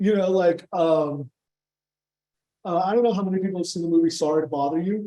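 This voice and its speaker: With a Californian accent, a man speaks at a high pitch in a dark, mellow tone, moving at a fairly quick pace with fairly even intonation and long, frequent pauses. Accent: Californian American English. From Southern California. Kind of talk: Q&A discussion at a seminar. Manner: halting, many repeats and fillers.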